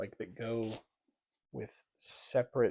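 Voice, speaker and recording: Quietly, a man talks at a very slow pace. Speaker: book reviewer. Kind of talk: casual book haul vlog. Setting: at home at night. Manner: monotone.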